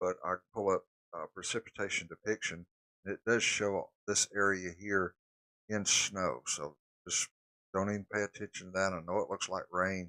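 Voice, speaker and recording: A man with a Southern US accent speaks at a moderate pace in a fairly low pitch with a bright, sharp tone. His intonation is fairly even, and the sound is dry and close with no echo. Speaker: storm spotter and weather streamer. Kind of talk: live weather coverage. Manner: casual, conversational.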